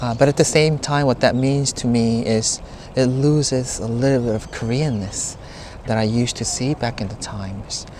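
Over noticeable background noise, a man talks at a moderate pace and medium pitch with fairly even intonation. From South Korea, Seoul (Gangnam). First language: Korean. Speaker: tour guide. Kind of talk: casual chat. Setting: noisy cafe.

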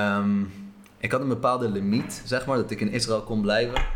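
In a room with audible echo, a man speaks at a moderate pace with fairly even intonation. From Israel, moved to the Netherlands at eight. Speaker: traveller. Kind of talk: interview.

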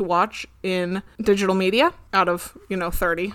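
With an ordinary speaking voice, a woman talks at a medium pitch and a fairly slow pace, her intonation fairly even. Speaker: podcast co-host. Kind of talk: casual chat.

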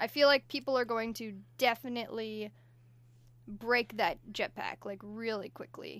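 Her pitch is fairly high, and her pace is moderate. This woman's loudness swings widely. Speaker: podcast co-host. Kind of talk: casual banter chat. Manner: animated, chatty.

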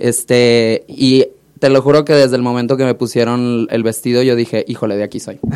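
This man talks at a moderate pace and a medium pitch. The intonation stays monotone and flat. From Mexico, Hermosillo, Sonora. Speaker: drag queen. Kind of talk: casual chat. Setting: studio.

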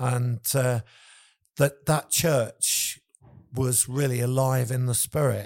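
A man with an English accent speaks at medium pitch in a monotone, flat intonation. His pace is very slow, with long, frequent pauses. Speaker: worship leader and church leader. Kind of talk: casual interview chat.

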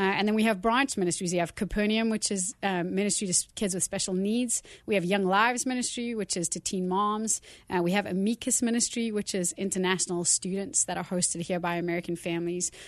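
Against a quiet background, a woman with a South African accent talks at a very fast pace in a medium pitch with ordinary pitch variation and hardly any pauses. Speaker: youth ministry leader. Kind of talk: casual interview. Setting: studio.

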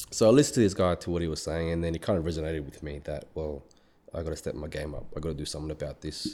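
With an Australian accent, a man talks at a very fast pace in a very deep, low, dark and mellow voice, his intonation fairly even and his loudness swinging widely. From Australia, Melbourne. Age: 30s. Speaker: fitness professional, bodybuilder. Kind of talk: casual interview.

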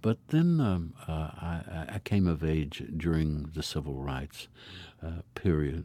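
Against a silent background in a very clean recording, a man with a very deep, low pitch and a dark, mellow tone talks at a very slow pace with fairly even intonation. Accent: American. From US South, Appalachia (Trade, Tennessee). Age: 60s. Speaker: traditional music advocate. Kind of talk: interview. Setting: recording booth.

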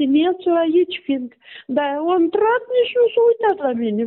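Here a woman speaks with a Moldovan accent. She goes at a fairly slow pace. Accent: Moldovan Romanian, regional forms. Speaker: bereaved mother of a patient. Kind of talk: testimony.

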